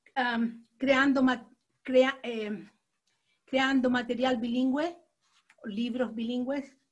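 A woman speaks at a very slow pace. Her high pitch holds fairly even intonation. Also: long, frequent pauses. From Latin America. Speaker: teacher and children's book author, participant. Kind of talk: workshop participation. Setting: video call.

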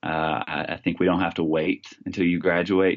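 A man with a Texan accent speaks fairly quickly in a very deep, low voice with monotone, flat intonation. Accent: Texan American. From Texas. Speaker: youth pastor and illusionist. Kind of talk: interview conversation.

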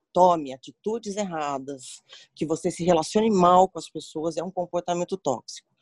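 Heard dry and close with no echo, a woman with a fairly low pitch uses a normal speaking voice with ordinary pitch variation. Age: 40s. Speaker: HR professional, psychologist. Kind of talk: interview.

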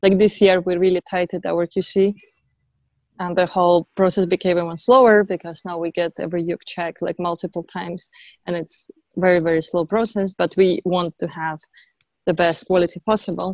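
A woman speaks with monotone, flat intonation and a fairly low pitch. The sound is dry and close, with no echo. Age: 30s. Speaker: ukulele company founder. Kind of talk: casual interview. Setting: video call from her garden.

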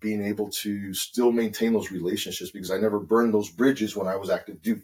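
With an American accent, a man speaks fairly quickly in a plain, everyday voice at a fairly low pitch. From California, San Jose. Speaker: navy sailor. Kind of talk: casual chat.

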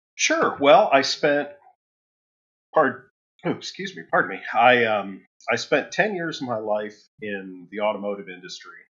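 A man speaks at a fairly slow pace and a medium pitch, with very wide pitch swings. His loudness swings widely, and he takes long, frequent pauses. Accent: Midwestern US. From Ohio, Toledo area. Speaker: guitar effects pedal builder. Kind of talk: casual interview.

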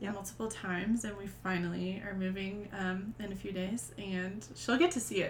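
A woman's medium-pitched voice at a moderate pace, with hardly any pauses, fairly even intonation, and noticeable background noise. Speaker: podcast host. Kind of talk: casual chat.

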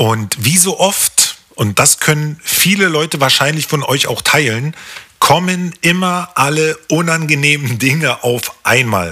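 Against noticeable background noise, a man speaks very slowly with ordinary pitch variation. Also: fairly high pitch for a man. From East Berlin (Hohenschönhausen), East Germany. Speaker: podcast host. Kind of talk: solo podcast monologue.

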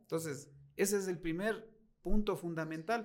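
A man speaks at a moderate pace in a high voice. His pitch varies in an ordinary way. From Ecuador, Latacunga. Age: 40s. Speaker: car salesman. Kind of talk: interview.

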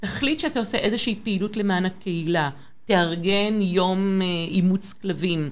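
Speaking in a French accent, a woman talks at a moderate pace and medium pitch with ordinary pitch variation. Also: very even loudness. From France (Paris), born in Israel. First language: French (speaking Hebrew). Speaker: public relations professional. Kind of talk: interview on a live broadcast. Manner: direct.

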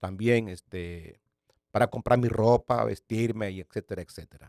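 A man with an unremarkable speaking voice talks at a fairly slow pace in a fairly low pitch, his intonation fairly even, the sound dry and close with no echo on a very clean recording with a silent background. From Nicaragua. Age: 60s. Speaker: pastor. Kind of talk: testimony.

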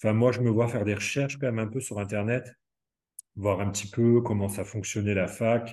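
Fairly low in pitch, a man speaks with fairly even intonation in a dark, mellow tone. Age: 30s. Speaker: home care nurse. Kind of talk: interview. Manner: halting.

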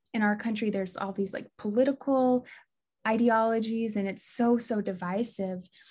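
This woman has an American accent and a somewhat breathy voice. Her intonation stays fairly even. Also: fairly high pitch for a woman, moderate pace. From US Midwest, Des Moines, Iowa. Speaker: Ayurvedic health counselor and yoga teacher. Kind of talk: podcast interview.

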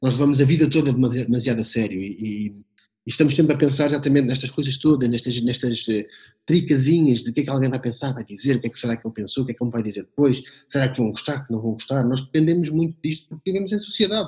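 A man speaks very fast, somewhat breathy. His medium pitch shows ordinary variation. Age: 30s. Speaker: communication consultant and storyteller. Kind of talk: interview conversation. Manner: hesitant with many repetitions.

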